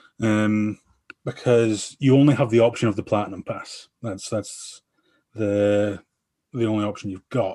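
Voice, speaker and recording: In an Aberdeen accent, a man speaks at a fairly slow pace with a fairly low pitch and fairly even intonation. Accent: Scottish (Aberdeen). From Scotland, Aberdeen. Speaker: podcast guest. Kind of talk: casual chat.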